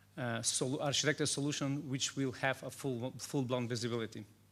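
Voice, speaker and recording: In a Macedonian accent, a man speaks at a medium pitch with a flat, monotone delivery. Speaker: cybersecurity consultant. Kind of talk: conference talk. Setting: stage with audience. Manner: fast.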